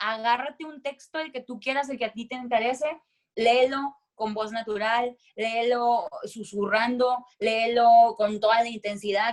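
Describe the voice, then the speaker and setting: At a fairly slow pace, a woman speaks in a fairly high, animated voice with ordinary pitch variation. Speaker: voice-over announcer and speaker. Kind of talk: voice coaching talk. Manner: loud.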